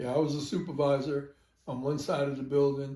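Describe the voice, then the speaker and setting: A man's very fast, somewhat breathy voice, fairly high-pitched, with an American accent. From New York City (Brooklyn). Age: 70s. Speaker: grandfather, retired supervisor. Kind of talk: family interview. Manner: casual, halting.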